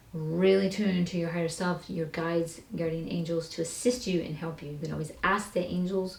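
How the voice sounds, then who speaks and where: A woman speaks at a fairly low pitch and a fairly quick pace. Audible room echo surrounds her voice. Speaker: tarot reader. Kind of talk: tarot reading. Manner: fast; casual.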